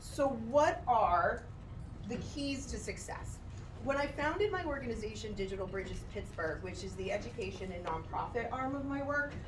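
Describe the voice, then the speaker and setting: Against noticeable background noise and audible room echo, a woman talks at a moderate pace in an animated tone. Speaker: motivational speaker. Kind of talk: motivational talk. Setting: stage with audience. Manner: loud. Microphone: microphone problems.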